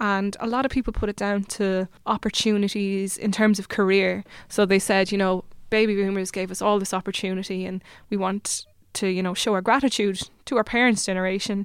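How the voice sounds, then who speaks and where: A woman with an Irish accent talks at a fairly quick pace in a medium pitch and a monotone, flat intonation, in a very clean recording with a silent background. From Ireland, Limerick. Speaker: PhD researcher. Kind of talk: interview.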